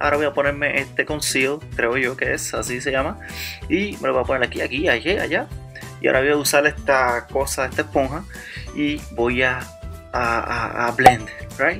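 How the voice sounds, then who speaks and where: A man with a Puerto Rican accent talks at a moderate pace, leaving long, frequent pauses, with music in the background. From Puerto Rico. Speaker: blogger. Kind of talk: comedic voice-over narration of a makeup tutorial. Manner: joking, playful, rambling.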